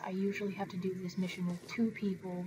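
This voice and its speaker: A woman talks quietly at a very fast pace in a medium pitch. Noticeable background noise sits behind her. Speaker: gaming video creator. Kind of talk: let's play commentary. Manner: quiet, keeping voice down; low energy, unenthusiastic.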